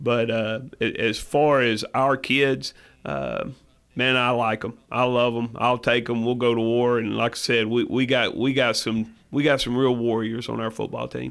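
In a Tennessee accent, a man with a medium pitch speaks at a fairly slow pace in a monotone, flat intonation. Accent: Southern US (Tennessee). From West Tennessee. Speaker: high school football head coach. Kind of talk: radio interview. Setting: radio show. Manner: halting, many fillers.

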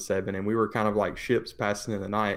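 A man with a slight Tennessee accent talks in a fairly low pitch with monotone, flat intonation. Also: very clean recording, silent background. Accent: Tennessee Southern US, slight. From Tennessee, US. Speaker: businessman. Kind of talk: casual podcast interview. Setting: studio.

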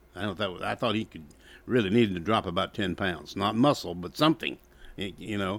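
Recorded very cleanly against a silent background, a man with a Southern US accent talks at a fairly quick pace in a fairly low pitch with ordinary pitch variation. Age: 70s. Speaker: sports radio co-host. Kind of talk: casual sports talk radio chat. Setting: radio studio.

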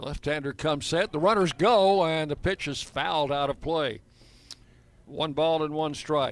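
A man speaks at a moderate pace in a normal speaking voice, his pitch fairly high. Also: ordinary pitch variation. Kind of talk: live baseball play-by-play commentary. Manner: brisk, clipped play-by-play delivery that rises on big plays.

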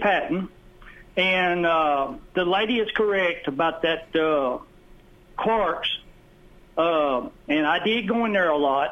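Speaking at a fairly slow pace with a Southern US accent, a man uses lively intonation and very even loudness. He leaves long, frequent pauses. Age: 60s. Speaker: radio caller. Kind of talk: call-in reminiscing. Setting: phone call. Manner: halting.

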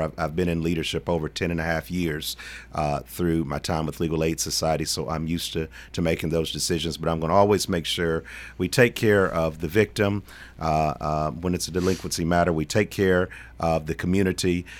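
The speaker has a Tennessee accent and a fairly quick pace. The intonation stays fairly even. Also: man, very deep, low pitch for a man. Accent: Southern US (Tennessee). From Middle Tennessee (Shelbyville, Bedford County). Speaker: political candidate, lawyer. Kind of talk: radio interview. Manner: halting, many fillers.

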